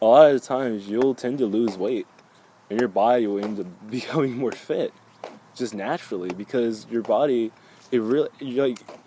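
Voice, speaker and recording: With noticeable background noise around him, a man at a medium pitch keeps a moderate pace and varies his pitch in an ordinary way. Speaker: spiritual vlogger. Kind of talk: casual monologue vlog. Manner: halting, self-correcting.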